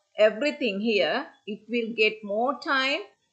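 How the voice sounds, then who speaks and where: Against a quiet background, the speaker talks at a very slow pace in a bright, sharp tone. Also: woman. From Sri Lanka. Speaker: senior lecturer. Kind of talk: conference presentation. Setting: video call. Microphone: video call.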